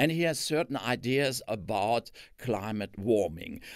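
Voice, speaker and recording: The recording is very clean, with a silent background. The voice has a German accent and vocal fry. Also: man. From Germany. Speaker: retired physics professor. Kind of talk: lecture. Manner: halting.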